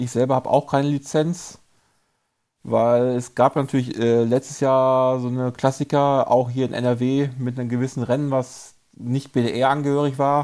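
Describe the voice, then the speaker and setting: The voice has a dark, mellow tone and monotone, flat intonation at a fairly slow pace. The recording is very clean, with a silent background. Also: man, medium pitch for a man. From Germany, Paderborn. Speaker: mountain bike racer and race series organizer. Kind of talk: casual chat.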